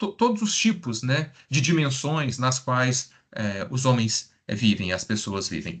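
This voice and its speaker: Speaking fairly slowly with an interior Minas Gerais accent, a man keeps a medium pitch and lively intonation. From Brazil, interior of Minas Gerais (Triângulo Mineiro). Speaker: psychologist. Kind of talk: lecture. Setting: live stream.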